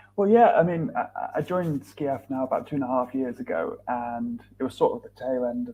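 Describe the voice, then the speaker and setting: A man speaks with a northern English accent. His pace is fairly quick. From northern England, Lancashire. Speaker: charity filmmaker. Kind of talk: podcast interview.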